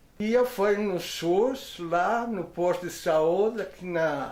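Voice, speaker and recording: A man's speech, with ordinary pitch variation, comes through with audible room echo. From Portugal. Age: 70s. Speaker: elderly interviewee. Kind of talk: interview.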